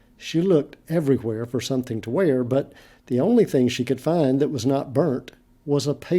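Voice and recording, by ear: The speaker is reading aloud in a natural voice. The pitch varies in an ordinary way.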